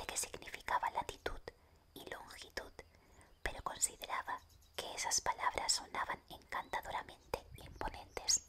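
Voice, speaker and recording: A whisper at a moderate pace, with noticeable background noise behind it. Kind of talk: whispered audiobook reading. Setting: studio, close microphone ASMR. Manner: whispered, soft.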